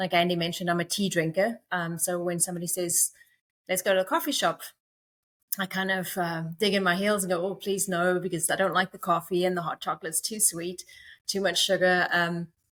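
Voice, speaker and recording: A woman's medium-pitched voice, fairly quick and flat in a monotone intonation, on a very clean recording with a silent background. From South Africa. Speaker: company co-founder. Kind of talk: podcast interview.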